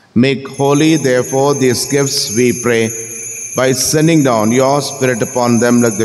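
With faint music in the background, a man at medium pitch speaks at a fairly slow pace using fairly even intonation. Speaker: priest. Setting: church. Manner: formal, solemn, fervent in prayer. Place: church.

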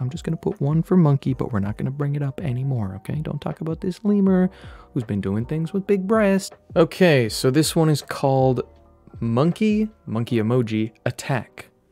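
Faint music sits in the background as a man speaks at a moderate pace. The sound is dry with no echo. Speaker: streamer. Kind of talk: comedic commentary and reading aloud. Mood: joking, mock-serious.

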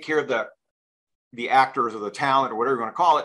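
The background is quiet as a man talks in a bright, sharp tone. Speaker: interview show host. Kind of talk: casual interview. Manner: excitable. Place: home room. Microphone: video call.

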